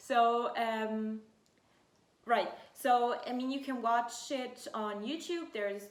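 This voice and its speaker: Audible room echo surrounds a woman talking in a high-pitched voice. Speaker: fashion YouTuber, student. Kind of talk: casual sit-down vlog. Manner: hesitant, many fillers.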